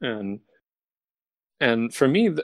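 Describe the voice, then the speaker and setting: Here is a man with an American accent. His pitch is medium. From Ohio and Tuscany, Italy. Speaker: violinist. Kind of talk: casual chat. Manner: halting, many fillers.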